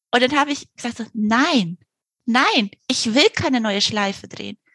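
A woman talks at a moderate pace with a high pitch and lively intonation. The sound is dry and close, with no echo. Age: 40s. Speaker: novelist. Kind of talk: interview.

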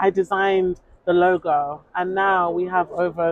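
Speaking with a London accent, a woman has a fairly low pitch. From London, England. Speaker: journalist. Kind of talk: interview. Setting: outdoors. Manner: animated.

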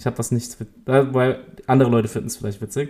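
The man's tone is dark and mellow, set at a medium pitch. He speaks at a fairly quick pace. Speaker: podcast co-host. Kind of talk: casual chat.

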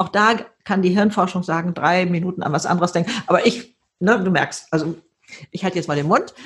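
Speaking at a fairly quick pace, a woman has a medium pitch and a somewhat breathy voice. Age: 70s. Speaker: author and keynote speaker. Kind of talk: interview. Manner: animated.

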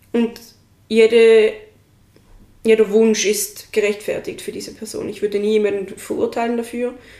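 A woman speaks at a fairly high pitch with monotone, flat intonation, long, frequent pauses, and big swings in loudness. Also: moderate pace. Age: 20s. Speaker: friend of the host. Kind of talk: casual chat. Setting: sitting on the floor in her living room.

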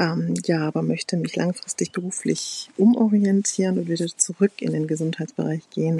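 A woman's fairly low voice, dry and close with no echo, over noticeable background noise. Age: 40s. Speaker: primary school teacher and course participant. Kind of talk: testimonial. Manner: hesitant with many fillers.

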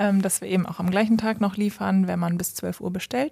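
A woman speaks at a medium pitch with a dark, mellow tone. Her pace is fairly quick and her intonation fairly even. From Westphalia, Germany (Lemgo). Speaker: startup founder. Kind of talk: interview. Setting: company office.

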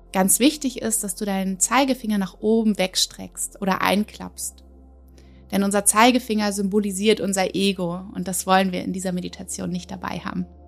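With music in the background, a woman speaks in a gentle, warm tone at medium pitch and a moderate pace, her intonation fairly even. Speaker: podcast host and meditation guide. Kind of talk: guided meditation. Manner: gentle, warm, with pauses between affirmations.

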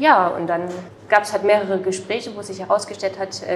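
A woman's voice with noticeable background noise. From Saxony, Ore Mountains (Erzgebirge). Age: 20s. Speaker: chef. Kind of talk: interview. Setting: restaurant.

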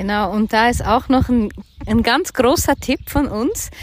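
With a plain, everyday voice, a woman speaks fairly slowly at a fairly high pitch and with ordinary pitch variation. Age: 50s. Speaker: podcast co-host on personal finance and crypto. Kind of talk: casual chat.

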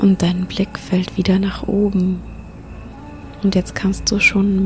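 With music in the background, a woman speaks at a very slow pace in a soothing, calm tone. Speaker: yoga teacher and mindfulness coach. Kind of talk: guided meditation. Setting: solo recording for listeners to fall asleep to in bed. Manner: slow, soothing, calm; soft, gentle, hushed.

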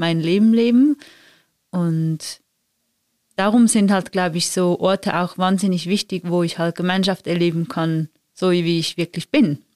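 In a very clean recording with a silent background and a dry, close sound with no echo, a woman speaks fairly slowly with a fairly low pitch and ordinary pitch variation. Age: 30s. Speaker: conflict and empathy trainer. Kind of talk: casual chat.

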